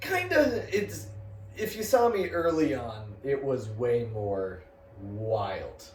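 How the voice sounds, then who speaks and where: A man speaks at a very slow pace. Room echo is audible, and there is noticeable background noise. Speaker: comedian. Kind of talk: casual chat.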